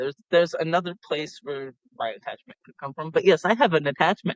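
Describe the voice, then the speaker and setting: A man with an American accent, fairly high pitch and ordinary pitch variation, a plain, everyday voice at a moderate pace, in a dry, close sound with no echo. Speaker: paranormal podcast host. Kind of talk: casual storytelling podcast.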